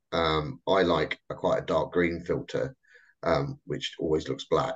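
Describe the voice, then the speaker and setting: Very wide pitch swings and vocal fry at a fairly slow pace, over a quiet background. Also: man. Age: 50s. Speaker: webinar host for a charity. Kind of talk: casual chat. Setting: video call webinar. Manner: halting. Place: home room. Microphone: video call.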